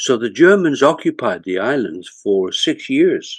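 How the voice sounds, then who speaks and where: A man with a Lancashire accent against a quiet background. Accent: Lancashire accent, kept for life. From northern England (Bolton, Lancashire). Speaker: retired corporate executive and author. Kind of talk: interview storytelling.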